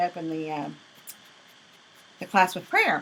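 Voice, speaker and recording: A woman speaks with a Southern US accent at a fairly low pitch. Her intonation stays fairly even. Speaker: craft instructor. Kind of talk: tutorial. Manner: fast.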